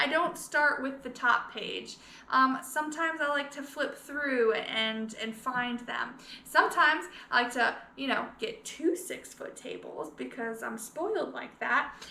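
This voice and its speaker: A woman speaks at a fairly slow pace in a bright, sharp tone with ordinary pitch variation, and room echo is audible. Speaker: scrapbooking consultant and video creator. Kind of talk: casual tutorial vlog. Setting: living room at home.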